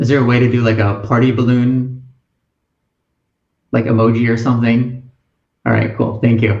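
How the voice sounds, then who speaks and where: In a room with audible echo but a quiet background, a man speaks in a somewhat breathy, flat monotone at very even loudness, leaving long, frequent pauses. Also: medium pitch for a man, moderate pace. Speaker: college admissions advisor; webinar host. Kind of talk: webinar presentation. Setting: online webinar with chat. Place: home room. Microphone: webcam.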